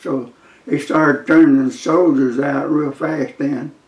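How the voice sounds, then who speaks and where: A man with a South Carolina accent, fairly high pitch and monotone, flat intonation at a fairly slow pace. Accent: Southern US (South Carolina). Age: 90s. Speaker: war veteran. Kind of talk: interview storytelling. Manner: halting.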